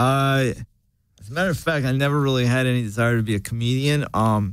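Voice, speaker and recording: Talking at a very fast pace, a man keeps a very even loudness at a medium pitch with ordinary pitch variation. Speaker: stand-up comedian and author. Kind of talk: casual interview chat. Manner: soft-spoken.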